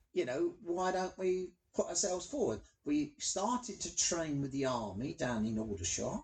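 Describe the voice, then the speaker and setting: Using very wide pitch swings, a man with a London accent talks at a high pitch. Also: moderate pace. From London, Hackney. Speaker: blind Paralympic athlete. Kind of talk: interview.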